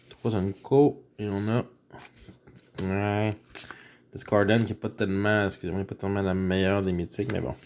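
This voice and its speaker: Speaking in a Quebec accent at a fairly slow pace, the speaker leaves long, frequent pauses. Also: man, fairly low pitch for a man. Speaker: YouTuber opening card packs. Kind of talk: casual pack-opening commentary. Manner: animated.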